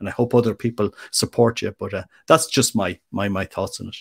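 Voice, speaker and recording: In an Irish accent, a man speaks at a fairly quick pace with monotone, flat intonation, in a dry, close sound with no echo on a very clean recording with a silent background. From Ireland. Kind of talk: interview. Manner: halting, with frequent repetitions.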